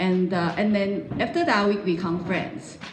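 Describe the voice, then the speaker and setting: A woman talks at a medium pitch with ordinary pitch variation. Audible room echo and noticeable background noise surround her voice. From Taiwan, Taipei. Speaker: pastor's wife. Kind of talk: testimony interview. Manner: halting, many fillers.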